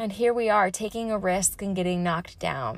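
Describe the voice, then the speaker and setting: Here is a woman with a plain, everyday voice at a medium pitch. Her intonation stays fairly even. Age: 30s. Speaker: fitness trainer and podcast host. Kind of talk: personal monologue pep talk. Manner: casual, conversational with fillers.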